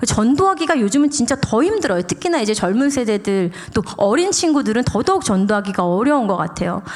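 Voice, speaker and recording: This woman talks at a fairly quick pace with hardly any pauses, her fairly high pitch making very wide swings in an animated tone while her loudness stays very even over noticeable background noise. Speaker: pastor's wife, guest preacher. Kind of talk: sermon. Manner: casual.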